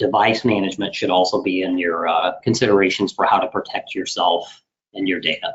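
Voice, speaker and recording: A man's fairly low voice, fairly quick and fairly even in intonation. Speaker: IT services director presenting a webinar. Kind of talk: webinar presentation. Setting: online webinar. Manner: fast.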